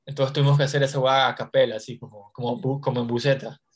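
A man talks at a fairly quick pace and fairly high pitch. His voice is somewhat breathy. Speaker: stand-up comedian and podcast host. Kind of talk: casual interview chat.

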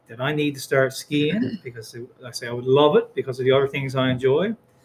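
This man talks at a fairly quick pace with ordinary pitch variation. His voice is somewhat breathy, with a Newfoundland accent. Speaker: high school teacher. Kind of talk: school podcast chat. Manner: fast talker.

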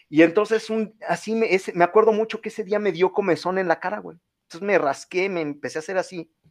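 A man speaks at a very fast pace with hardly any pauses. His pitch is high, and his intonation fairly even. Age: 30s. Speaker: political campaign coordinator. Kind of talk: casual interview. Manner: halting, many repetitions and fillers.

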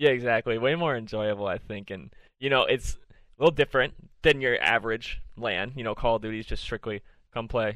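With an American accent, a man speaks at a fairly quick pace in an unremarkable speaking voice of medium pitch, with ordinary pitch variation and big swings in loudness. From Minnesota, US. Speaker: podcast host. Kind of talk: casual chat.

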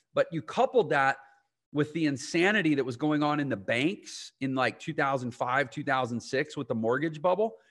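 Against a quiet background, a man speaks in a plain, everyday voice at a moderate pace. His pitch is fairly high, and his intonation is lively. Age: 40s. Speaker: entrepreneur and online business educator. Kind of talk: interview.

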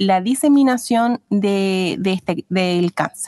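Speaking at a very slow pace with ordinary pitch variation, a woman is recorded with a dry, close sound with no echo against a quiet background. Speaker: midwife. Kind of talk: interview explaining health topic. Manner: halting.

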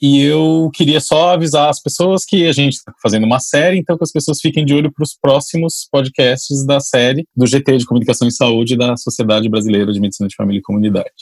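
A man talks at a very fast pace with a fairly high pitch, ordinary pitch variation, and hardly any pauses. The sound is dry and close, with no echo. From São Paulo, Brazil. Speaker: podcast co-host and family doctor. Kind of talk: casual discussion.

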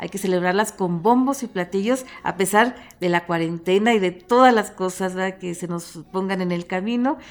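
Delivered in a normal speaking voice at a moderate pace, the speech has ordinary pitch variation and hardly any pauses. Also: woman, medium pitch for a woman. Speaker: radio host. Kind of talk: radio interview.

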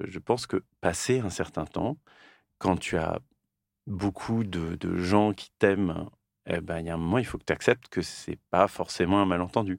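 The recording is very clean, with a silent background and a dry, close sound with no echo. A man speaks at a fairly slow pace in a very deep, low pitch, with ordinary pitch variation. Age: 40s. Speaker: podcast host, comic artist. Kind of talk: casual chat. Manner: halting.

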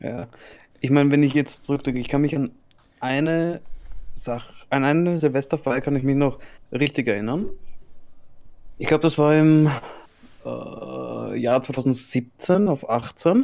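In an Austrian accent, a man talks at a fairly slow pace with long, frequent pauses. His fairly high voice has a dark, mellow tone and ordinary pitch variation. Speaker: podcast host. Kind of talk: casual chat.

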